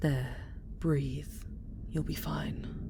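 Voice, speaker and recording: A growling, put-on character voice is heard over loud background noise. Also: woman. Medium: audio drama. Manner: commanding, intense.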